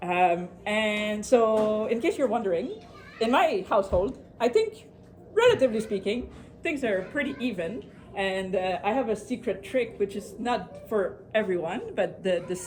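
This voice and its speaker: A woman speaks with a French accent at a fairly high pitch. Her intonation is lively, and there is noticeable background noise. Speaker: productivity speaker. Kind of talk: presentation to a live audience. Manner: fast.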